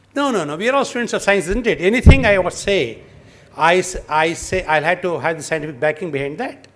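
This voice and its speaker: A high-pitched man at a fairly quick pace with lively intonation. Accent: Kannada. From Karnataka, India. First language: Kannada. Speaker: lecturer on traditional healing. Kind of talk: interactive lecture.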